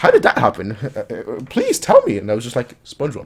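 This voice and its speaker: Noticeable background noise runs under the recording. The man talks at a moderate pace. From Germany. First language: German. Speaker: anime reaction youtuber. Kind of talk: casual chat.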